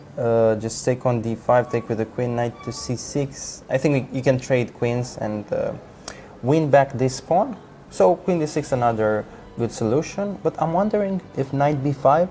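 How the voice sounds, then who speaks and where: A man in a Romanian accent at a fairly slow pace and medium pitch, lively in intonation, with noticeable background noise. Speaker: chess commentator. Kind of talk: live commentary.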